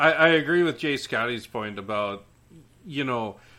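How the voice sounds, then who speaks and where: A man with a Minnesota accent and a bright, sharp tone, at a fairly slow pace with ordinary pitch variation. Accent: Minnesota-style Upper Midwest. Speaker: podcast guest. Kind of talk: casual chat.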